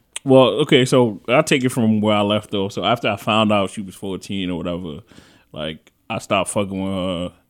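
Speaking at a fairly quick pace, a man with a New York accent has a fairly low pitch. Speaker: podcast host. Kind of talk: casual chat.

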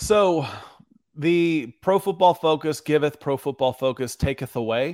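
In a very clean recording with a silent background, a man with a normal speaking voice talks at a fairly high pitch with ordinary pitch variation. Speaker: sports podcast host. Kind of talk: casual chat.

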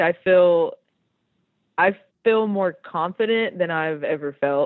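Very slowly, a woman talks in an American accent. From Tennessee, US South. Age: 30s. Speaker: outdoor community founder. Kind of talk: interview.

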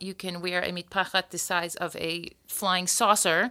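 In an American accent, a woman talks with a bright, sharp tone at a medium pitch. The recording is very clean, with a silent background. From US, Florida. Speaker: podcast host and singer. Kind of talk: casual chat. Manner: quick and witty.

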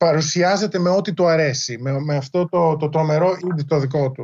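A man speaks at a fairly slow pace in a fairly high voice, with ordinary pitch variation. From Greece. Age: 40s. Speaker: history professor and author. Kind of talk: interview. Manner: halting, many fillers.

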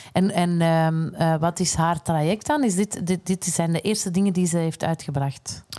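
A woman with a Flemish accent talks at a moderate pace in a dark, mellow tone, her pitch fairly low. Her loudness stays very even and her intonation fairly even. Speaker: podcast host. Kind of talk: casual chat.

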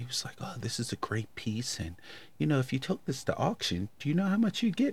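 This man talks at a medium pitch in a somewhat breathy voice. His pace is fairly quick and his pitch swings very widely. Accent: American. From Baltimore, Maryland. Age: 50s. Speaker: podcast host, guest. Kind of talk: casual chat.

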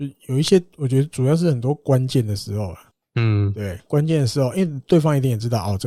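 With a Taiwanese accent, a man talks at a fairly quick pace in a dark, mellow, somewhat breathy tone with lively intonation, the sound dry and close with no echo in a very clean recording with a silent background. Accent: Taiwanese Mandarin. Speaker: baseball podcast host. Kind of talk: casual chat.

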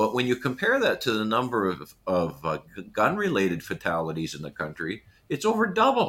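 The speaker has a Canadian accent. The pace is fairly quick. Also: man. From Canada, Manitoba. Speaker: retired engineer, inquiry chairman. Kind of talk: interview.

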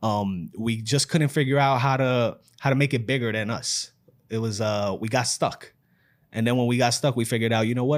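A man with a New York accent at a medium pitch and a fairly quick pace. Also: very clean recording, silent background. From New York City, the Bronx. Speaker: fatherhood community founder, entrepreneur. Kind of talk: casual chat.

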